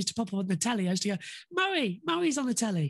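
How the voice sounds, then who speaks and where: Somewhat breathy, a woman speaks with a northern English accent. Her pitch is fairly high. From northern England. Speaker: motorsport commentator. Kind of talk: casual interview.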